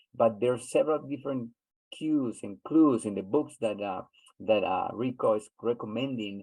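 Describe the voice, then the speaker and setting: A man speaks in a Spanish accent at a moderate pace. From Honduras. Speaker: webinar host. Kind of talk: webinar discussion. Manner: halting, many repeats.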